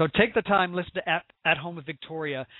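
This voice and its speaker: An American accent with ordinary pitch variation. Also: man. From US Midwest. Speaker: talk show host. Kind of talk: casual chat. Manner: animated.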